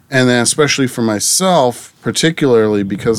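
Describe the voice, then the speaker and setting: A man with an American accent speaks in a normal speaking voice, at a medium pitch with ordinary pitch variation. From Massachusetts, Plymouth area. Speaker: abstract artist. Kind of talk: interview. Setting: in-person recording.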